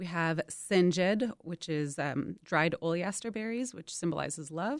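In a very clean recording with a silent background, a woman with a normal speaking voice and a fairly low pitch talks at a moderate pace with ordinary pitch variation. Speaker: political scientist. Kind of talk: radio interview. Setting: studio.

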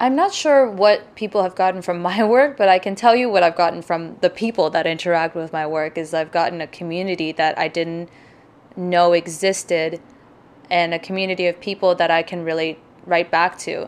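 A woman with a normal speaking voice talks at a fairly quick pace, her fairly low pitch moving with ordinary variation. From Pakistan, moved to Mississauga, Canada at about nine. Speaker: visual artist. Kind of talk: interview.

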